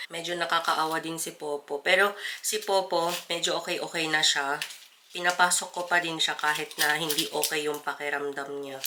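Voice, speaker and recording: Noticeable background noise surrounds a woman's voice. She talks at a fairly low pitch in a flat monotone. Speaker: vlogger. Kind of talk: casual vlog talk.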